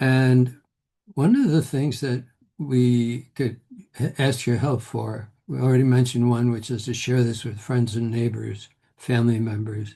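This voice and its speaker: The man's voice is somewhat breathy, with a dark, mellow tone at a medium pitch. He keeps a fairly slow pace and fairly even intonation. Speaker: reflexology trainer. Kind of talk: workshop closing remarks.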